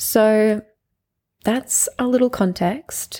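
A woman's dark, mellow tone comes through at a very slow pace. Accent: Australian. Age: 20s. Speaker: podcast host and business owner. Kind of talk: casual monologue. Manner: animated.

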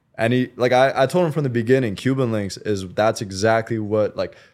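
This man, with an unremarkable speaking voice, keeps a medium pitch and ordinary pitch variation in a very clean recording with a silent background. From Canada. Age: 20s. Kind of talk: casual interview conversation.

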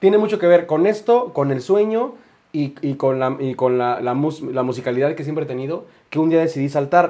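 Speaking with a Mexico City accent, a man uses lively intonation and a dark, mellow tone at a fairly high pitch and a fairly quick pace. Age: 20s. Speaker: singer. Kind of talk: casual chat.

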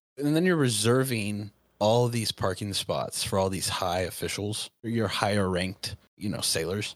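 A man speaks with an American accent and an ordinary speaking voice. His pitch is fairly low, with ordinary pitch variation, at a moderate pace. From Southern California. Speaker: Navy veteran. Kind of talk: casual chat.

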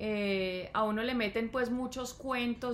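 In a room with audible echo, a woman speaks at a very slow pace with ordinary pitch variation. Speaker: podcast co-host, mother of co-host. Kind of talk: casual chat.

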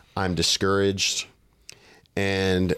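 An American accent marks this man's very deep, low pitch. The recording is very clean, with a silent background. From US South, Texas. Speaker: church planter and minister. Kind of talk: casual chat.

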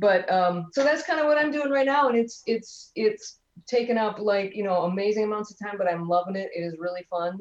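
Using an ordinary speaking voice, a woman talks at a fairly quick pace with lively intonation and hardly any pauses. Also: fairly high pitch for a woman. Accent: American. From US Midwest, Detroit. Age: 50s. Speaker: comedian. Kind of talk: casual chat.

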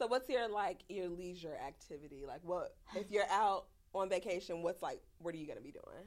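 A woman with an American accent talks at a moderate pace and medium pitch, her animated tone showing ordinary pitch variation and big swings in loudness. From Chicago, South Side. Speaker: podcast host. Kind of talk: casual chat. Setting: studio.

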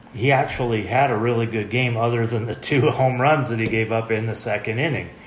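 A man with an American accent speaks at a medium pitch and a moderate pace, his intonation monotone and flat. Audible room echo and noticeable background noise fill the recording. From Oregon, US (Medford). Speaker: sports podcast co-host. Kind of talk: casual sports chat.

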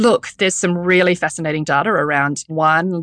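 A woman with a New Zealand accent speaks at a moderate pace with fairly even intonation. The sound is dry and close, with no echo. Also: quiet background. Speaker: menopause speaker, podcaster and personal trainer. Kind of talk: casual interview chat.

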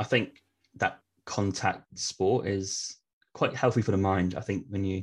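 A man speaks with an English accent. His pitch is very deep and low. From eastern England. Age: 30s. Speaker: travel podcast host. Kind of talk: casual interview chat.

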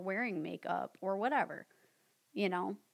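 With a plain, everyday voice at a medium pitch, a woman speaks at a fairly slow pace in a very clean recording with a silent background. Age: 30s. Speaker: skincare specialist. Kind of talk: casual chat.

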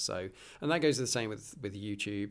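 A man with a British accent at a medium pitch, on a very clean recording with a silent background. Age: 40s. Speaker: podcast host. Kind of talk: casual monologue. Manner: hesitant, many fillers.

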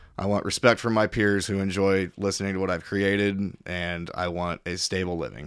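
In a very clean recording with a silent background, a man with a Midwestern American accent talks at a moderate pace, his fairly low voice keeping fairly even intonation. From Missouri, Kansas City area. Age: 30s. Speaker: cook and musician. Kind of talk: casual chat. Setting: at host's home. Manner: loud, carrying voice.

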